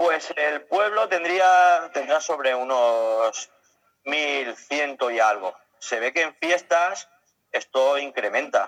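Here a man talks at a very slow pace. His fairly high voice carries lively intonation. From Spain, Elche (Alicante). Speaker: caravan traveler. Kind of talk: interview. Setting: outdoors at a village festival.

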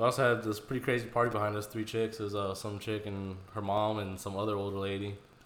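A man with an American accent talks at a very fast pace, with a fairly low pitch and hardly any pauses. His intonation is monotone and flat, and there is audible room echo. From Houston, Texas. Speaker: podcast host. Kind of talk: casual chat.

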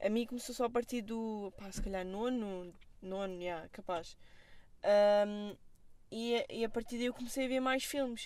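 Delivered fairly slowly, the speech has ordinary pitch variation. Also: woman, fairly high pitch for a woman. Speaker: film student. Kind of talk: casual chat. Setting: in a car.

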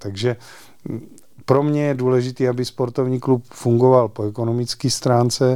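A man with a medium pitch and dark, mellow tone, at a moderate pace. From Czechia, Znojmo region (South Moravia). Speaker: sports federation president and club chairman. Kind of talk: interview.

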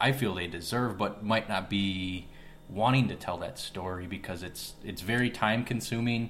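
A man with an unremarkable speaking voice talks fairly low, at a moderate pace, with fairly even intonation. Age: 20s. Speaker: podcast co-host, real estate broker. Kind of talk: casual chat.

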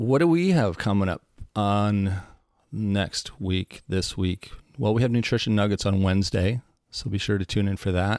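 Fairly low in pitch, a man talks at a fairly slow pace in an unremarkable speaking voice with ordinary pitch variation. The recording is very clean with a silent background. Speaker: podcast co-host. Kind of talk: casual podcast interview.

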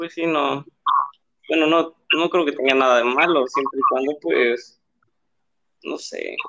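Speaking at a fairly slow pace with long, frequent pauses, a man uses a fairly high pitch and fairly even intonation. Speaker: podcast co-host. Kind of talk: casual chat.

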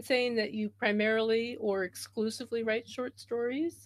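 A woman talks at a moderate pace with a fairly high pitch. It is an ordinary speaking voice. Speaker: podcast host. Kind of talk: casual interview chat. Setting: remote call.

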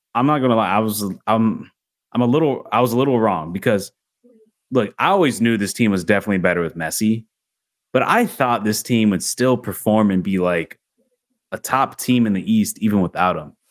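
In a plain, everyday voice, a man speaks at a fairly quick pace with a fairly low pitch and ordinary pitch variation. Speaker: podcast host. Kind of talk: casual sports podcast chat. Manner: casual, interrupts often.

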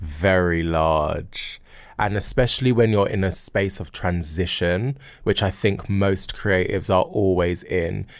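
A man speaks at a fairly slow pace with a very deep, low pitch. The recording is very clean, with a silent background. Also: ordinary pitch variation. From South London. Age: 30s. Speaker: choreographer. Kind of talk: interview. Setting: studio.

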